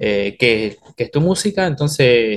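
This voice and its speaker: Somewhat breathy male voice. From Oberá, Misiones, Argentina. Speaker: bandoneon player, musician. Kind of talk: casual interview chat.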